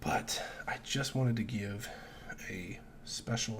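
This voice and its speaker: At a very slow pace, a somewhat breathy man speaks in a fairly low pitch with ordinary pitch variation and audible room echo. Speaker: sports betting youtuber. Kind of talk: casual solo vlog. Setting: at home, early morning. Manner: keeping voice down.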